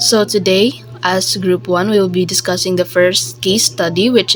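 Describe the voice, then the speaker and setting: Background music is heard. The woman talks fairly slowly. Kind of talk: student group report presentation.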